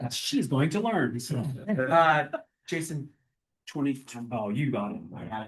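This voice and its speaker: Somewhat breathy speech from a man at a fairly high pitch, with very wide pitch swings and long, frequent pauses. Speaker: county water department director. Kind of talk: public meeting presentation. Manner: halting, many fillers.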